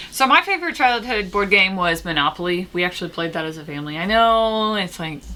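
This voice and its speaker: Over noticeable background noise, a woman with an American accent talks at a very fast pace with hardly any pauses, medium pitch, lively intonation and big swings in loudness. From US Midwest, Indianapolis suburb. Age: 30s. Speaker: board game youtuber. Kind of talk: casual chat.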